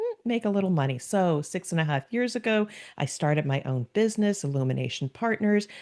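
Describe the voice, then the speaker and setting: This woman has a fairly low pitch and a New Jersey accent. Her pitch swings very widely, and she talks at a fairly quick pace. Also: very even loudness. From US Northeast, New Jersey. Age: 60s. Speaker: business consultant and podcast guest. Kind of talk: podcast interview.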